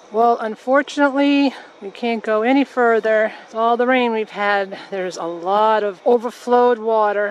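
A woman with an American accent speaks in an unremarkable speaking voice, fairly high in pitch with fairly even intonation, at a moderate pace. The sound is dry with no echo, and there is light background noise. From Massachusetts. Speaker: nature vlogger. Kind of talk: walking vlog narration. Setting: outdoors. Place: forest. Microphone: phone near.

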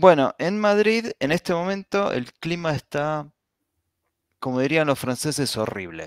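Using a plain, everyday voice, a man talks at a fairly slow pace with lively intonation and a fairly high pitch, captured in a dry, close sound with no echo on a very clean recording with a silent background. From Argentina, Buenos Aires. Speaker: blogger, podcast guest. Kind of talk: casual chat.

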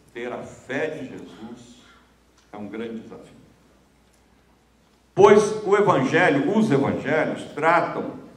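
Amid audible room echo, a man speaks at a very slow pace with long, frequent pauses, his fairly high pitch making very wide swings and his loudness shifting in big swings. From Minas Gerais, Brazil. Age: 70s. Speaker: friar, journalist and writer; journalist. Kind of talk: public lecture. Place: stage. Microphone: handheld.

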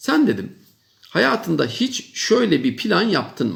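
Here a man speaks with a high pitch. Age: 50s. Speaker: professor. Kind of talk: monologue advice talk to young people. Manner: emphatic, repetitive.

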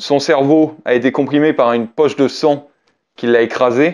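Against a quiet background, a man with a plain, everyday voice speaks at a moderate pace with fairly even intonation. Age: 30s. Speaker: BMX rider and YouTuber; YouTuber. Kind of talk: casual talk to camera. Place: home room.

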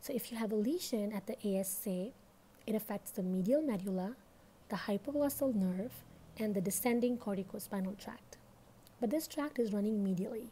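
Fairly quick and somewhat breathy, this woman's voice sits fairly high in pitch. Her tone is dark and mellow, with ordinary pitch variation. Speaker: medical educator. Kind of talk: educational lecture. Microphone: phone near.

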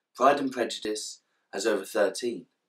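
This man speaks at a moderate pace with a British accent. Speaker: literature commentator. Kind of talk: casual talk to camera.

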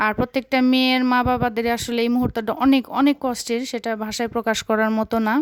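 A woman speaks at a high pitch with monotone, flat intonation. The recording is very clean with a silent background, and the sound is dry and close with no echo. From Bangladesh, Tangail. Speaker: vlogger. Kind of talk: vlog voiceover narration.

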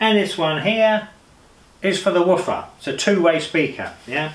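A man speaking with audible room echo. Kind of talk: tutorial. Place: home room.

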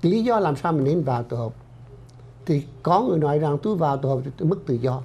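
The tone is dark and mellow, somewhat breathy. Delivery moves at a fairly quick pace with lively intonation. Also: man. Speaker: doctor and clinic director. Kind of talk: informational health-group presentation. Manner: formal. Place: studio. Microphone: lapel.

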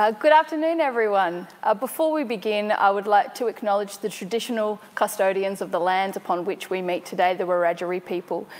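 Hardly pausing at all, a woman talks at a fairly quick pace. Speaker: panel host. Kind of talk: event hosting introduction. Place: hall.

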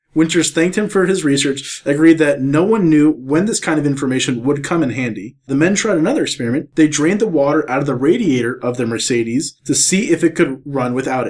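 Talking at a very fast pace with hardly any pauses, a man uses a fairly high pitch and lively intonation. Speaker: podcast co-host. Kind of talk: casual chat.

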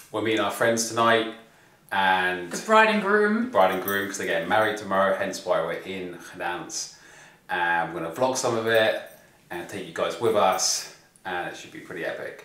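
The voice moves at a moderate pace amid audible room echo. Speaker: travel vlogger. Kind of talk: casual vlog chat. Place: home room. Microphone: phone near.

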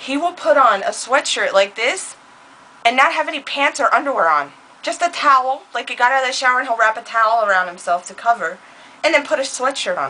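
Fairly quick and high in pitch, a woman speaks with lively intonation. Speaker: beauty vlogger. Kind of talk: casual chat. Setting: home recording. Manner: animated. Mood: playful, joking. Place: home room. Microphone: webcam.

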